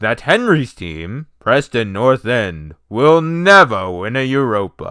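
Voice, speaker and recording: A man uses a put-on character voice at medium pitch. He speaks fairly slowly in a very clean recording with a silent background. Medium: read story. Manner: pompous.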